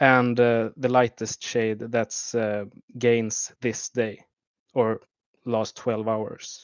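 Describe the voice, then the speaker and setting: Spoken at a very slow pace in a Swedish accent, the delivery keeps a monotone, flat intonation. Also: man, medium pitch for a man. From Sweden. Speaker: YouTube map analyst. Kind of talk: livestream commentary. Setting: livestream. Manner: halting, many fillers.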